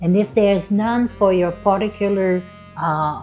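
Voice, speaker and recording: A woman speaks at a fairly slow pace in a playful, upbeat tone, her pitch moving in an ordinary way, with music playing in the background. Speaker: yoga instructor. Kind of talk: guided yoga class.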